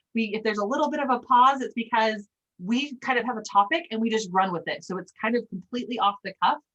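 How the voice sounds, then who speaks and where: Lively intonation marks a plain, everyday voice in an American accent. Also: woman. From Utah. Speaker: sales trainer. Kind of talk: casual group training.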